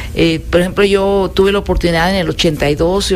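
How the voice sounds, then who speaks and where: A woman's fairly low voice in a monotone, flat intonation, noticeable background noise behind it. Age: 70s. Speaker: mother and grandmother guest. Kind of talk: casual chat. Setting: radio studio.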